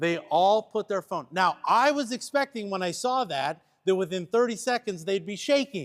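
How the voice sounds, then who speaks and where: A man with a Pennsylvania accent talks at a moderate pace, with hardly any pauses and lively intonation, his pitch high. The sound is dry and close, with no echo. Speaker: church workshop trainer. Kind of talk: training workshop; reading aloud a case study.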